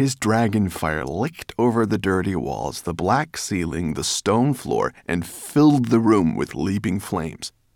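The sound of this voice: Lively intonation carries this unforced reading voice along.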